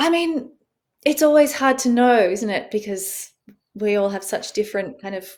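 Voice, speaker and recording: Lively intonation in an Australian accent. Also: woman, fairly high pitch for a woman, moderate pace. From Australia, rural farm. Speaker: author and rewilding expert. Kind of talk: interview podcast. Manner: calming.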